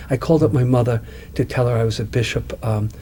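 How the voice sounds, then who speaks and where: A man with a Brooklyn accent speaks over noticeable background noise. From Long Island, New York, US. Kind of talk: interview. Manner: halting, many fillers and repeats.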